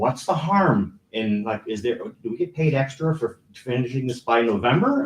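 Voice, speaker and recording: Lively intonation runs through a man's somewhat breathy voice. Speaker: resident giving public comment. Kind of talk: public comment at council meeting. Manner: fast.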